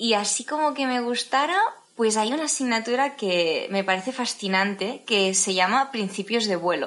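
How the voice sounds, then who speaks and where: Lively intonation marks this woman's fairly high-pitched voice at a moderate pace. Noticeable background noise runs behind her. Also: very even loudness. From Spain, Tarragona (Catalonia). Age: 20s. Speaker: airline pilot. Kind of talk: interview.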